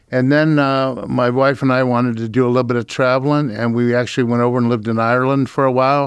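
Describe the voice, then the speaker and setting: A man with an American accent speaks at a very fast pace, medium in pitch, with monotone, flat intonation and very even loudness. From Akron, Ohio, US. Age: 70s. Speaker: broadband company executive. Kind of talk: casual radio interview. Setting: radio studio.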